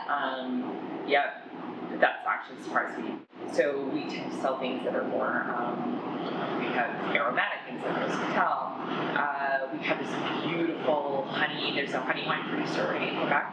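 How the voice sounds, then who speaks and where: A woman talks at a moderate pace with audible room echo. Loud background noise fills the recording. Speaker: interviewee. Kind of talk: interview answer. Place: bar.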